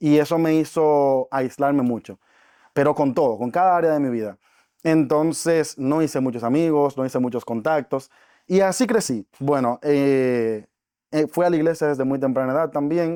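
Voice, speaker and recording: A man with a Dominican accent has a fairly high pitch and a dark, mellow tone. The recording is very clean, with a silent background. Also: ordinary pitch variation, moderate pace. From Dominican Republic. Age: 20s. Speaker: network marketing entrepreneur. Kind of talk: podcast interview.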